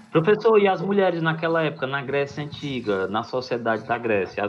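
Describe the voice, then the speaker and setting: A man's fairly quick speech, full of very wide pitch swings, comes through noticeable background noise. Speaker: school teacher. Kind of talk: lecture. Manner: halting.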